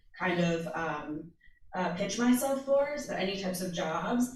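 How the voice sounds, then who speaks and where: Amid noticeable background noise and audible room echo, a woman with an American accent speaks at a moderate pace. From United States. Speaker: social media producer. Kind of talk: panel talk.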